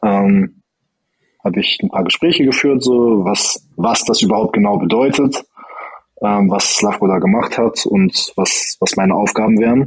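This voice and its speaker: A man with an unremarkable speaking voice, fairly low pitch, ordinary pitch variation, very even loudness, and a fairly slow pace. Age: 20s. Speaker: former judo athlete, incoming state coach. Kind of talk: interview.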